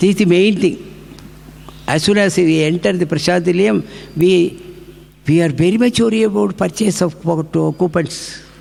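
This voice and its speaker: Over noticeable background noise, a man with a high pitch speaks at a moderate pace with very even loudness, ordinary pitch variation and long, frequent pauses. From India, Tamil Nadu (Tanjore district). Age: 80s+. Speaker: spiritual speaker. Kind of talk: devotional talk with personal anecdotes. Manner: halting, many false starts.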